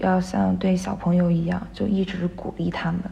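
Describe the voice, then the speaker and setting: Against noticeable background noise, a woman talks at a moderate pace with a fairly low pitch. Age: 20s. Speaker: dance student and part-time dance teacher. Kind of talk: interview.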